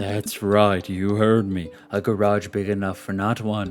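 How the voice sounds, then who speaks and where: A man performs a put-on character voice over clear music in the background. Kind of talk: announcer. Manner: cheesy, salesy.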